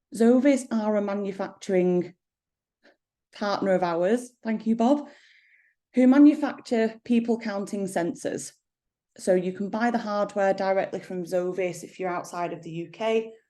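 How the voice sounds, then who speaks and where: A woman with an English accent speaks in a dark, mellow tone at a moderate pace. Her loudness swings widely, and the background is quiet. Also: medium pitch for a woman, ordinary pitch variation. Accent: regional English accent, toned down. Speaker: company managing director. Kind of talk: product presentation.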